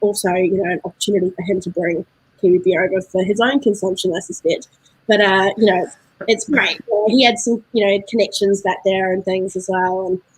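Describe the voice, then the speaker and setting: A woman with a New Zealand accent, medium pitch, fairly even intonation and a fairly quick pace. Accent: New Zealand, getting thicker. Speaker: beer importer representative. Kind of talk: casual interview chat. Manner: hesitant, many fillers.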